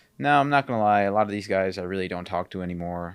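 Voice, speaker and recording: Very deep, low male speech, very clean recording, silent background. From Chicago area, US Midwest (born in Peru, moved at four). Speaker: podcast host and gym owner. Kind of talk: personal storytelling. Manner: casual, filler-heavy.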